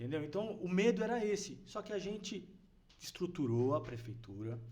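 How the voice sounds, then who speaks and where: A man's high pitch with very wide pitch swings, at a moderate pace amid audible room echo. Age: 50s. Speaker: city official. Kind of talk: podcast interview.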